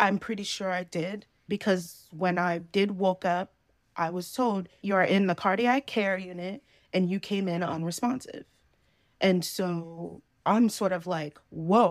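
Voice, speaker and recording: A woman's plain, everyday voice with an American accent, medium in pitch, at a fairly slow pace with fairly even intonation, in a very clean recording with a silent background. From New Jersey. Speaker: guest sharing near-death experience story. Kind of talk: personal storytelling interview. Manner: casual, laughing often.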